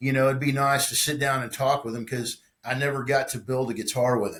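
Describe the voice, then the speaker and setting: A man of medium pitch with an American accent, fairly quick and monotone, flat in intonation, with big swings in loudness. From Texas, Conroe / north Houston area. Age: 50s. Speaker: guitar builder and musician. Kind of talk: casual interview chat. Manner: halting, many repetitions and fillers.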